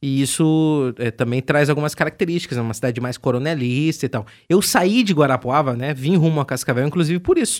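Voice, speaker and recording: Here is a man with a normal speaking voice, fairly high in pitch with ordinary variation. He talks at a fairly quick pace with hardly any pauses, on a very clean recording with a silent background. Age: 20s. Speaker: radio host. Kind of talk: casual chat. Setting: bar table.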